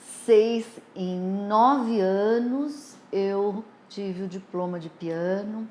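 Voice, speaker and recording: A woman speaks at a medium pitch with ordinary pitch variation, and her voice carries audible room echo. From Brazil, São Paulo. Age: 60s. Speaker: nursing professor. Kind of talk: life story interview.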